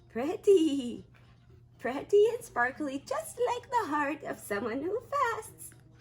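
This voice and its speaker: With music in the background, a woman puts on a character voice at an extremely high pitch, swinging very widely in pitch at a fairly slow pace. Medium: read story. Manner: gentle, warm.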